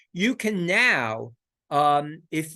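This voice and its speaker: A man with a bright, sharp tone speaks at a fairly high pitch against a quiet background. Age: 70s. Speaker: psychologist and philosopher. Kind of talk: lecture. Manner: halting, frequent repetitions.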